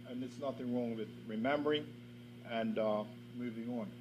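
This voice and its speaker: Noticeable background noise and audible room echo both surround a man's speech. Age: 60s. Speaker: government minister. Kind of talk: ceremonial speech. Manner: formal.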